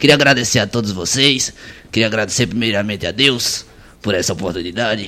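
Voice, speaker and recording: The tone is bright and sharp, and the pace is fairly quick. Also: man, fairly low pitch for a man, ordinary pitch variation. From Pernambuco sertão, Brazil. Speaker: radio host. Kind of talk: casual chat.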